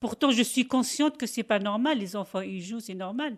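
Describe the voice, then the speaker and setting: Very clean recording of a woman's voice, background completely silent. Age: 60s. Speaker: factory worker. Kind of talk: interview testimony. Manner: halting; loud.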